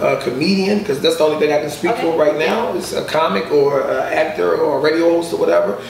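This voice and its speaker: Over noticeable background noise and audible room echo, a man talks at a very fast pace with hardly any pauses. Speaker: comedian guest. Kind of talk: interview answer. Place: home room. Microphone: camera far.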